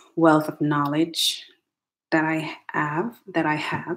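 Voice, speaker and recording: Someone speaks at a very slow pace in a Jamaican accent, in a very clean recording with a silent background. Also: woman. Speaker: educational technologist. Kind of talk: casual vlog monologue. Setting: home attic, livestream.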